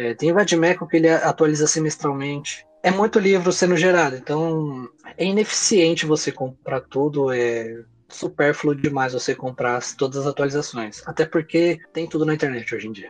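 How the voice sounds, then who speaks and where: A man at a moderate pace with ordinary pitch variation against noticeable background noise. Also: fairly high pitch for a man. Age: 20s. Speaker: lawyer. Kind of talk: interview.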